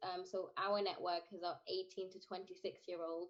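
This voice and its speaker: A woman with a British accent, her voice at a medium pitch. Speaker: scout leader, interviewer. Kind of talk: video call interview.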